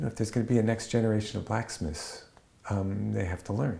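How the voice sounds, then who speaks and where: Somewhat breathy, a man speaks at a fairly low pitch with a dark, mellow tone. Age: 60s. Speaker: blacksmith. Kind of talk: interview testimony. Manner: halting, many fillers and restarts.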